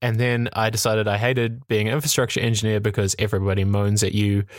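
Talking at a fairly quick pace, a man speaks in a New Zealand accent. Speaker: tech podcast host. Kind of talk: casual chat. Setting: remote call.

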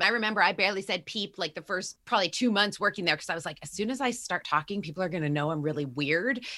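A woman's bright, sharp tone in an American accent, very fast pace and lively intonation, on a very clean recording with a silent background. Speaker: health coach, former journalist. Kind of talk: casual interview chat.

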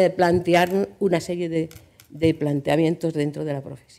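Dark, mellow tone from a woman with a fairly low voice. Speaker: journalist and agency director. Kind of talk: panel talk.

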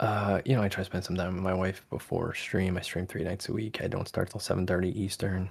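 In a very clean recording with a silent background, a soft-spoken man with an American accent and a very deep, low pitch speaks very fast in a monotone, flat way, somewhat breathy and with hardly any pauses. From Connecticut, US. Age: 30s. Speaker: ASMR content creator. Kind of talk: casual chat.

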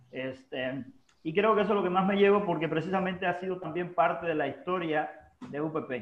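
A man with a high pitch talks at a fairly quick pace. Audible room echo and noticeable background noise surround his voice. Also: ordinary pitch variation. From Cuba, Holguín. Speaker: university administrator and former teacher. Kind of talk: casual interview. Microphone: unstable internet connection.

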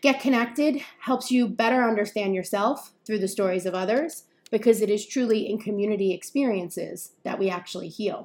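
With a New York accent, a woman talks at a fairly quick pace with hardly any pauses, a fairly high pitch and ordinary pitch variation. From New York area. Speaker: podcast host, journalist and content creator. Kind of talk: scripted-style solo podcast intro.

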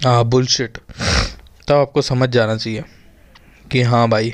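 A man speaks very slowly at a medium pitch. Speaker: podcaster. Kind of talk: casual solo podcast monologue. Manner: halting, rambling with many pauses.

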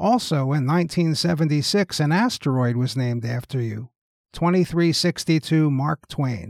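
An ordinary speaking voice with lively intonation moves at a moderate pace in a dry, close sound with no echo. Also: man, fairly high pitch for a man. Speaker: talk show host. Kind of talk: mock interview with a historical figure, scripted.

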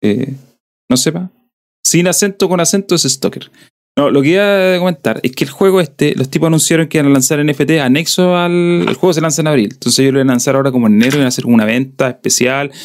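In a southern Chilean accent, the speaker goes at a very fast pace with lively intonation and very even loudness. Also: man. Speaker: podcast host. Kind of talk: casual chat.

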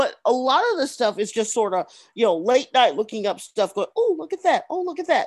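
An animated tone with very wide pitch swings at a fairly quick pace. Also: woman, high pitch for a woman. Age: 40s. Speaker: podcast co-host. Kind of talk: casual chat.

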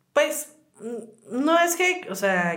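Lively intonation from a woman amid audible room echo. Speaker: podcast co-host. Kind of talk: casual chat. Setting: studio.

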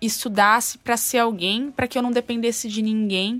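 Using an unremarkable speaking voice, a woman talks at a fairly high pitch and moderate pace with ordinary pitch variation. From rural Novo Horizonte, São Paulo state, Brazil. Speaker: tattoo artist, fashion designer and rock singer. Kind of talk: interview.

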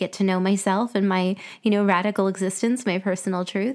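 The recording is very clean, with a silent background. A woman talks at a moderate pace and medium pitch in an ordinary speaking voice. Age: 30s. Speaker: podcast host, Pilates and yoga teacher. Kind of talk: solo reflective monologue.

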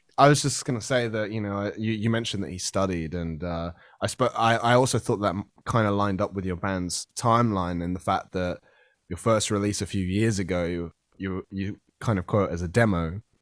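A man talks at a fairly quick pace with a British accent and ordinary pitch variation. The sound is dry and close, with no echo. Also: fairly low pitch for a man, very clean recording, silent background. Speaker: podcast host. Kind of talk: casual chat.

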